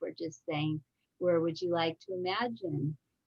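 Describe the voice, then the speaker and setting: Somewhat breathy, a woman speaks with a very deep, low pitch and fairly even intonation. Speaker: grief counselor. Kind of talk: webinar presentation. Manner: halting.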